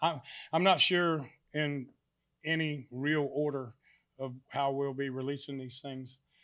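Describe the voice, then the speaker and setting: A man with a Southern US accent talks in a fairly high pitch at a fairly slow pace. His loudness swings widely, and he takes long, frequent pauses. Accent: Southern US (Georgia). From US South, South Georgia. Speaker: country singer. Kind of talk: casual interview chat. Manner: halting, many fillers.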